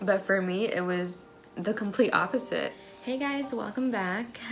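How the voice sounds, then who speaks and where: A woman talks at a fairly slow pace with ordinary pitch variation as music plays in the background. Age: young. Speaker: military spouse and mother. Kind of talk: personal story told to camera.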